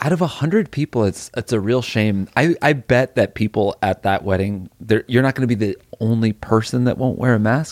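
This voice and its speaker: A man of medium pitch talks at a moderate pace in an unremarkable speaking voice, with ordinary pitch variation and a dry, close sound with no echo. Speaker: podcast host. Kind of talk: casual comedic chat.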